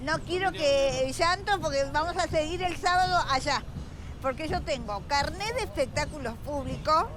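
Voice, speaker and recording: Lively intonation and very even loudness mark this fairly slow delivery, heard over noticeable background noise. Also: woman, high pitch for a woman. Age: 70s. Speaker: street performer. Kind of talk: street argument.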